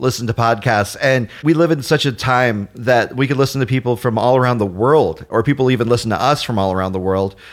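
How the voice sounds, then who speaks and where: This man has an unremarkable speaking voice at a medium pitch. He moves at a fairly quick pace with ordinary pitch variation. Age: 30s. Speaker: arcade gamer and podcaster. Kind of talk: casual chat.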